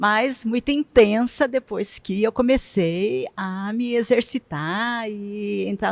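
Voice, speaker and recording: A woman speaks at a very slow pace with hardly any pauses, at a fairly high pitch with ordinary pitch variation. The sound is dry and close with no echo. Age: 60s. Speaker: retired bank worker turned triathlete. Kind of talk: interview.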